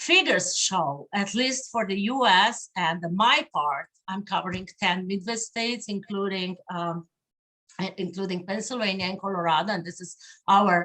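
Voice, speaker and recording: In a Slavic accent, a woman speaks with a bright, sharp tone. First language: Slovenian. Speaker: diplomat. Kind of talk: conference speech. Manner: halting, many fillers.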